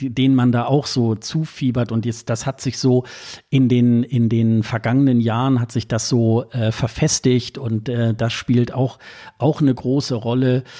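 On a very clean recording with a silent background, a man with a dark, mellow tone speaks at a medium pitch in a monotone, flat way and at a fairly slow pace. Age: 40s. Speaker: Eurovision enthusiast, social media commentator. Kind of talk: casual chat.

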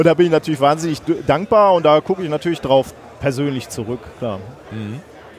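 A man talks at a fairly quick pace in an ordinary speaking voice. His pitch is fairly high, and his intonation is lively. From Ruhr area, Germany. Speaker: science podcaster. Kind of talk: casual chat. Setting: podcast booth at a congress, under a parasol.

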